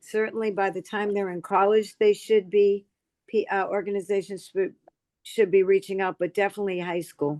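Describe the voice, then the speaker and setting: At a moderate pace, a woman of medium pitch speaks in a monotone, flat delivery, the sound dry and close with no echo. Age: 70s. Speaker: political activist. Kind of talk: casual discussion. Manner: halting.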